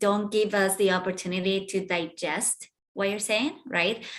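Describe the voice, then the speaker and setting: A woman's medium-pitched voice at a moderate pace, a plain, everyday voice. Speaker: pitch coach. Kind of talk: feedback critique.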